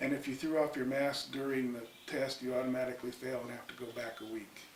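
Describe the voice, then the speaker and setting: Over noticeable background noise and audible room echo, a man speaks at medium pitch with monotone, flat intonation. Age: 60s. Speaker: retired military firefighter. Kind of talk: interview storytelling. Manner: casual, with fillers.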